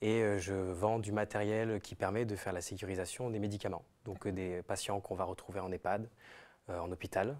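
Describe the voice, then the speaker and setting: A man's fairly low voice in a monotone, flat delivery at a moderate pace. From southern France. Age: 20s. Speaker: MBA student. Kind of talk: live webinar interview. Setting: live stream.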